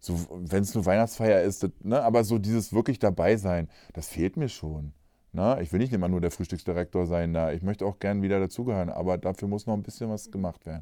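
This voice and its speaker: A man with a very deep, low voice and a dark, mellow tone talks at a fairly quick pace with ordinary pitch variation, captured in a very clean recording against a silent background. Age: 40s. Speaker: podcast host, nurse. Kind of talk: casual chat.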